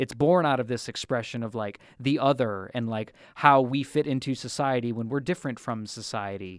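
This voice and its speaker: A man with an unremarkable speaking voice at a medium pitch and moderate pace, ordinary pitch variation, hardly any pauses, very clean recording with a silent background. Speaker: podcast host. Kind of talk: casual chat. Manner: joking, playful.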